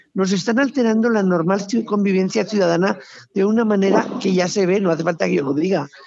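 A woman speaks at a moderate pace in an animated tone, her pitch varying in an ordinary way, with noticeable background noise. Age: old. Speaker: retired police officer. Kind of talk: casual chat.

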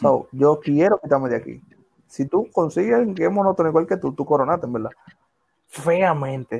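A man with a fairly high pitch uses a plain, everyday voice, talking at a fairly quick pace with lively intonation. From Dominican Republic, Villa Faro. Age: 20s. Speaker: podcast co-host. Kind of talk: casual chat.

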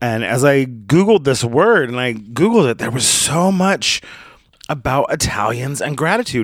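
Loud and animated, a man talks at a moderate pace with a fairly high pitch and very wide pitch swings. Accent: American. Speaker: podcast host. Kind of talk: language lesson.

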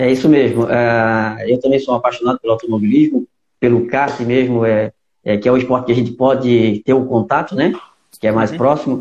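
A man with a plain, everyday voice talks at a medium pitch and fairly quick pace, keeping very even loudness and fairly even intonation. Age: 40s. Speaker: podcast host, karting league organizer. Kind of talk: interview. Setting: live video call.

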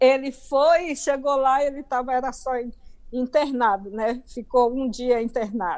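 Speaking fairly slowly in a Bahian accent, a woman uses a high pitch with ordinary pitch variation. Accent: Bahian Brazilian. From Bahia, Brazil. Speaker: author. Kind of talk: interview, life story. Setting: video call.

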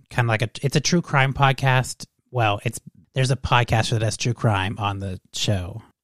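In a plain, everyday voice, a man at medium pitch speaks at a moderate pace with ordinary pitch variation, the recording very clean with a silent background and a dry, close sound with no echo. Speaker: podcast host. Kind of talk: casual chat over drinks.

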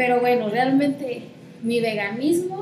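With lively intonation and a fairly high pitch, a woman speaks amid audible room echo and noticeable background noise. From Mexico, Chiapas (Comitán). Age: 20s. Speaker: environmentalist and graduate student. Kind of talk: interview conversation.

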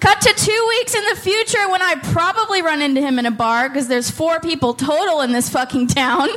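A woman's extremely high voice over noticeable background noise, very wide pitch swings, a fairly quick pace, very even loudness and hardly any pauses. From Oakland. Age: 30s. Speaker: comedian. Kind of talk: stand-up. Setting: stage with audience.

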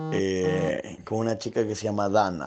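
Very slow delivery with ordinary pitch variation. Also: man. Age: 20s. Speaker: dating app user interviewee. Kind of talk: personal testimony.

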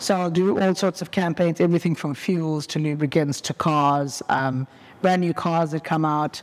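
This man has a fairly high pitch and a normal speaking voice. He talks at a moderate pace. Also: fairly even intonation. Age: young. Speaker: motoring journalist and content creator. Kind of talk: casual interview. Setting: car dealership garage.

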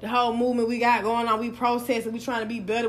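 In a Southern US accent, a woman talks at a very fast pace with a fairly high pitch and an animated tone. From US South. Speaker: podcast host. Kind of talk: casual interview. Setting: live recording in Atlanta. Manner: fast talker, animated.

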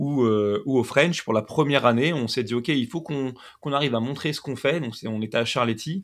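The speaker uses a plain, everyday voice at a moderate pace with ordinary pitch variation. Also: man. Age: 30s. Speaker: CrossFit competition commentator. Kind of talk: casual chat.

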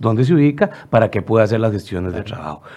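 A man with a Costa Rican accent and a dark, mellow tone speaks at a very fast pace with very wide pitch swings. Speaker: legislator. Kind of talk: radio interview.

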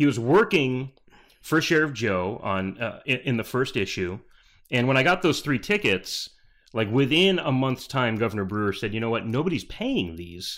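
The recording is very clean, with a silent background. A man with an American accent speaks at medium pitch and a moderate pace, with very wide pitch swings. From Arizona (Peoria, Phoenix area). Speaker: comic book creator and late-night talk show host. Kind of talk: casual interview.

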